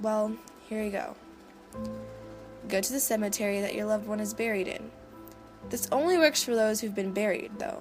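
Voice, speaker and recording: Over music in the background, the speaker moves at a fairly quick pace. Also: woman. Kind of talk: horror story narration.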